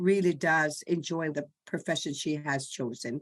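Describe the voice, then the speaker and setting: A woman speaks in an ordinary speaking voice with fairly even intonation against a quiet background. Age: 60s. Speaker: salon client, communications specialist. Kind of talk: interview.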